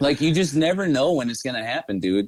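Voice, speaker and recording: A man talks with a Midwestern accent. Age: 30s. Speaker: musician and music manager. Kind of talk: casual chat. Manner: mumbly; animated.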